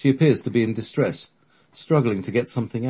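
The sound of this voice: Reading in an unforced voice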